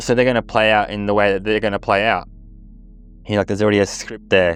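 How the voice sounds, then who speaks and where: Over music in the background, the voice stays monotone with flat intonation. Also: man. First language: not English. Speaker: astrology vlogger. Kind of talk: off-the-cuff personal reflection. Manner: halting, many fillers.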